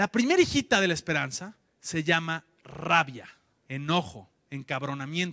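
A man with an animated, bright, sharp tone uses a raised, projected voice with very wide pitch swings against a quiet background. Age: 30s. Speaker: entrepreneur, conference speaker; conference speaker. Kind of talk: conference talk. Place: hall. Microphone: handheld.

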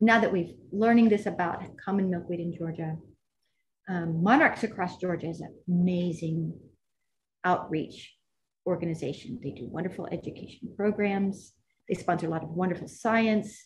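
The speaker has a somewhat breathy voice with an American accent and ordinary pitch variation. Long, frequent pauses break up the speech. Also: woman. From Texas, Grand Prairie. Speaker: botanical garden conservation coordinator. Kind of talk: casual chat. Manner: animated.

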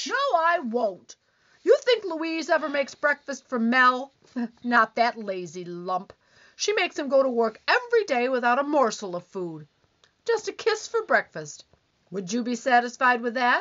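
Her pitch high and swinging very widely, a woman talks at a moderate pace. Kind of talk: 1940s radio comedy acting. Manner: complaining, whiny, accusing.

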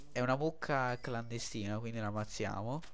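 A man's voice carries audible room echo. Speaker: gaming youtuber. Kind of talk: gameplay commentary. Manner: halting.

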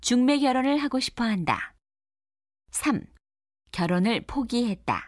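At a high pitch, a woman speaks with ordinary pitch variation. She goes at a very slow pace with long, frequent pauses. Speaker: narrator of listening test questions. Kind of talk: scripted narration.

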